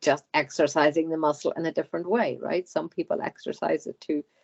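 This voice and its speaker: An Irish accent at a moderate pace. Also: woman. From Ireland. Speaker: hypnotherapy client. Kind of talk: channeled speech under hypnosis. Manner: halting.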